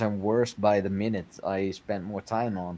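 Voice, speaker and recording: A man with a Dutch accent speaks in a dark, mellow tone at a fairly low pitch, his intonation monotone and flat. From Netherlands. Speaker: game builder, construction worker. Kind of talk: casual interview. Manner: slow; halting.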